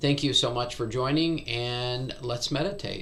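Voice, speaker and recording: Audible room echo surrounds a man's bright, sharp tone. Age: 60s. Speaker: meditation teacher.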